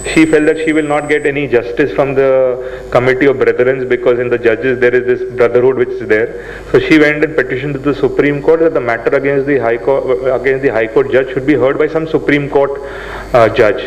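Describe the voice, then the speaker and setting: A man at a fairly quick pace with hardly any pauses, plus audible room echo and noticeable background noise. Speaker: seminar speaker. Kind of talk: lecture. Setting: seminar hall with audience. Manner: fast.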